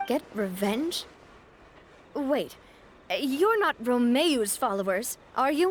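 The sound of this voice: Using a put-on character voice, a woman speaks slowly at a fairly high pitch with big pitch swings.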